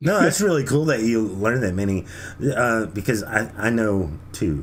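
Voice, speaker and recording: A man with an American accent speaks at a moderate pace and medium pitch. His intonation is lively, with audible room echo. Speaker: podcast host. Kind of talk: casual chat.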